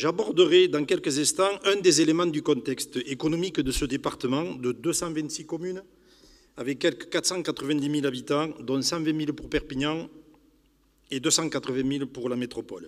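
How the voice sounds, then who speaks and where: A man speaks at a moderate pace with fairly high pitch. His pitch variation is ordinary. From southern France, Pyrénées-Orientales (Catalonia). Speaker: youth housing manager, conference speaker. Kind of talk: public lecture. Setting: conference hall with audience. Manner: formal.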